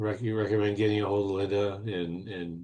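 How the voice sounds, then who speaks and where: In a quiet background, a man with a normal speaking voice and fairly low pitch talks at a fairly quick pace. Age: 60s. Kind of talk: casual interview.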